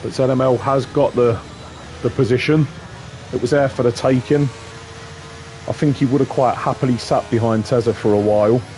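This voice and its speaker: Despite noticeable background noise, a man with a medium pitch talks fairly quickly at a very even loudness, leaving long, frequent pauses. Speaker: sim racing commentator. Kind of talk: live commentary.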